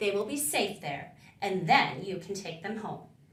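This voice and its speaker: A woman performs a put-on character voice at a medium pitch and a moderate pace. There is a slight echo. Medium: read story. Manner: relaxed, friendly.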